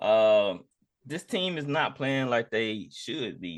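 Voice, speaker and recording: Ordinary pitch variation marks a man's very slow pace. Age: 30s. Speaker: sports podcast host. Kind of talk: casual chat.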